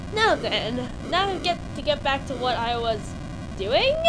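A woman with a high pitch and very wide pitch swings speaks at a fairly slow pace over noticeable background noise. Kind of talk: gaming roleplay commentary. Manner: quiet.

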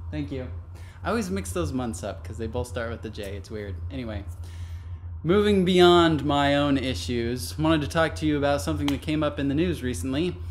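A man at a fairly quick pace with a fairly low pitch and very wide pitch swings, over light background noise. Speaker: vlogger. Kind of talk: casual vlog talk. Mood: light, cheerful. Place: home room. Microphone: webcam.

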